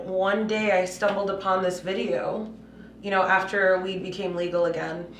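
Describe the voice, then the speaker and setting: A woman speaks at a medium pitch with fairly even intonation. Noticeable background noise and audible room echo fill the recording. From Puerto Rico, raised in Massachusetts from age five. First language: Spanish. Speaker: cannabis business CEO. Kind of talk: podcast interview. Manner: casual, many fillers.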